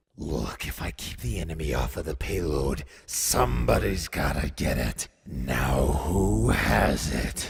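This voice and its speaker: A man uses a cartoonish, growling character voice with a very deep, low pitch and ordinary pitch variation. He speaks at a fairly slow pace with hardly any pauses. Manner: exasperated, insistent.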